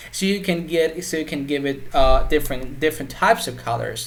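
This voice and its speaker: Talking at a very fast pace, a man is heard through noticeable background noise. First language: Persian. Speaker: web development tutor. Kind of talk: tutorial. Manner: halting, many repetitions and fillers.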